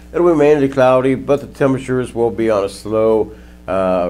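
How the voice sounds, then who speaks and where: Over music in the background, a man with an American accent talks at a moderate pace with lively intonation. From Ohio. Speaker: weather forecaster. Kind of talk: weather report. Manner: animated, upbeat and chatty; conversational, folksy. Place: studio.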